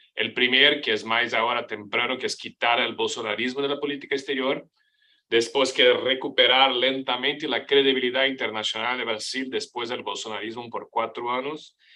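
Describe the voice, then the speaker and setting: A man with a bright, sharp tone speaks at a medium pitch and moderate pace, his intonation monotone and flat. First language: Portuguese (speaking Spanish). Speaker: professor, foreign policy expert. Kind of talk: panel presentation. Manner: halting, many fillers and restarts.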